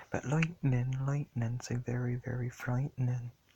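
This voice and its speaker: Somewhat breathy, a man's voice holds a medium pitch. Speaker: YouTube vlogger. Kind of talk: casual vlog monologue. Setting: in bed at night.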